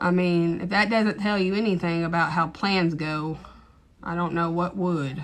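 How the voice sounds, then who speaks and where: Here a woman speaks with an East Texas accent at a fairly low pitch. Her pace is moderate and her intonation fairly even. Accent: thick East Texas. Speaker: TikTok live streamer. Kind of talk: casual chat. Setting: livestream. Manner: rambling, hesitant with fillers.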